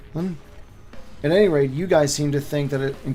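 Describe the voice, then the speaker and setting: Over music in the background, a man talks in a fairly high pitch with fairly even intonation. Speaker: YouTube lore creator and author. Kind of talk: casual livestream chat. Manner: halting, many fillers.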